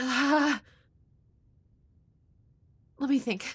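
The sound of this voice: Here is a put-on character voice with a fairly bright tone. It moves at a very slow pace with ordinary pitch variation. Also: woman, high pitch for a woman.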